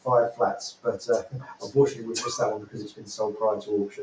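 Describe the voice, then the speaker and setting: A man with a British accent speaks at a very fast pace. Noticeable background noise runs behind him. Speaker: auctioneer presenting upcoming property lots. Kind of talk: live show presenter talk about property auction lots.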